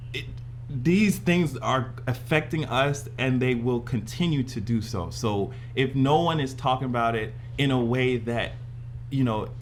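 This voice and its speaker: Over music in the background and with audible room echo, a man speaks fairly slowly at a medium pitch with ordinary pitch variation. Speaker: YouTuber. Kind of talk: casual chat. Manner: animated.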